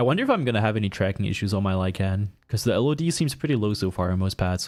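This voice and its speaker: A man talks at a very fast pace with a fairly low pitch. His intonation is lively and his loudness very even. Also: very clean recording, silent background. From Switzerland, Graubünden. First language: Swiss German. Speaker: tech reviewer streamer. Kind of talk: livestream commentary while unboxing. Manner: animated.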